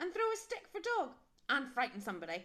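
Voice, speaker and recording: A woman's put-on character voice, very fast, with very wide pitch swings. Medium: read story.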